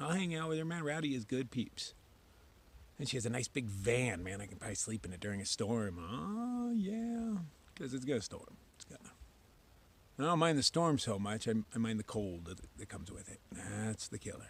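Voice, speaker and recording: In a dry sound with no echo, a man talks at a moderate pace with very wide pitch swings and big swings in loudness. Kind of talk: casual vlog chat. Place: forest. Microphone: phone near.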